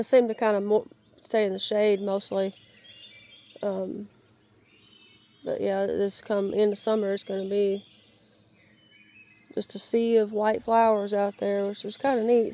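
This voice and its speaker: With monotone, flat intonation, a woman talks fairly slowly at a medium pitch. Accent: Southern US. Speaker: YouTuber, outdoors/yard vlogger. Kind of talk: casual vlog narration. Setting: outdoors in the woods. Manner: halting, many false starts.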